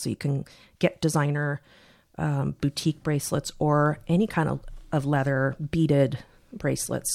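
At a moderate pace, a woman speaks in a very deep, low voice with vocal fry and ordinary pitch variation on a very clean recording with a silent background. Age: 50s. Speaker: watch podcast co-host. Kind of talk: casual chat.

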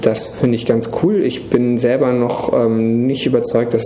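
This man talks in a flat monotone at a medium pitch. The room echo is audible and the background noise is noticeable. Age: 30s. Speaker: digital industry association banking lead. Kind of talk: interview. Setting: office.

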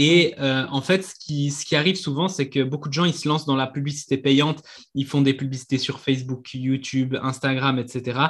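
A somewhat breathy man speaks at a moderate pace and fairly high pitch with fairly even intonation. The background is quiet. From Switzerland. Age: 20s. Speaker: marketing coach. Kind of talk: interview.

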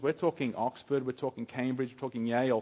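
A man's normal speaking voice, medium in pitch, at a fairly quick pace. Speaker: preacher. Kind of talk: sermon. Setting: church. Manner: humorous, joking.

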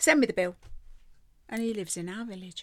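Someone with an English Midlands accent speaks at a fairly quick pace on a very clean recording with a silent background. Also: woman. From Rugby, central England. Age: 70s. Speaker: host's grandmother, guest. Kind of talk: casual chat. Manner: good-humoured, laughs often.

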